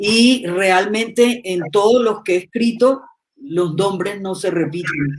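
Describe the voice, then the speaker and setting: A woman with a medium pitch and ordinary pitch variation talks very slowly. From Colombia. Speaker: writer. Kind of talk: live online interview.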